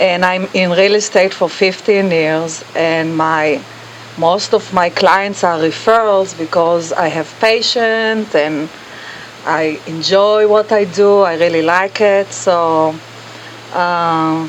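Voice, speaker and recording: Through noticeable background noise, a woman with a fairly low pitch talks at a very slow pace with fairly even intonation. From Israel. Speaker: real estate agent. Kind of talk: casual interview.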